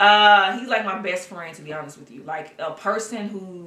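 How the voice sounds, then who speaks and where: A moderately paced woman's voice at medium pitch, with audible room echo. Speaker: documentary series creator and director. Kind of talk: interview. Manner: loud; casual.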